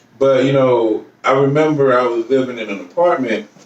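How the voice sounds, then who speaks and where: Noticeable background noise sits behind a man of medium pitch who speaks with an American accent. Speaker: podcast co-host. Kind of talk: casual chat.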